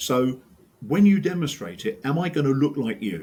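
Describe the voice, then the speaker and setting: A man with an English accent speaks at a fairly slow pace, his dark, mellow tone edged with vocal fry. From England. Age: old. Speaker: sport science professor. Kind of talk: casual chat. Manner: animated.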